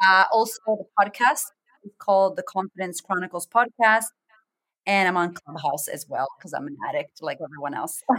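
At a moderate pace, a woman's medium-pitched voice sounds bright and sharp, animated and lively in intonation, with big swings in loudness and a dry, close sound with no echo. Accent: Boston. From US, Boston, Massachusetts. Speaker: confidence coach. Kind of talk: interview.

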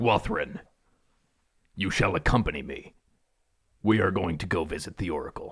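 In a gravelly, put-on character voice, a man speaks at a moderate pace and fairly low pitch, leaving long, frequent pauses. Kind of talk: formal, archaic. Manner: commanding, formal.

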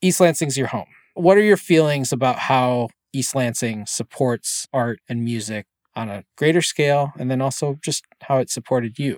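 Recorded very cleanly against a silent background with a dry, close sound and no echo, a man with a General American accent has an unremarkable speaking voice at a medium pitch, with ordinary pitch variation and a moderate pace. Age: 40s. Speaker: podcast host. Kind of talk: casual chat. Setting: studio.

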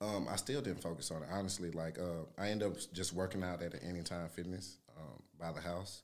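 Delivered at a fairly quick clip, the speech runs on with hardly any pauses. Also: man, very deep, low pitch for a man, ordinary pitch variation. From Louisiana, Shreveport. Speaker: former prisoner, fitness trainer. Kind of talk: casual interview.

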